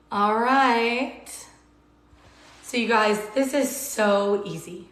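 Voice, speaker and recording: A woman speaks at a very slow pace with an American accent and ordinary pitch variation. Noticeable background noise is present. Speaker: cooking livestream host. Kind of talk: live cooking demo with viewer Q&A. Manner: casual and chatty.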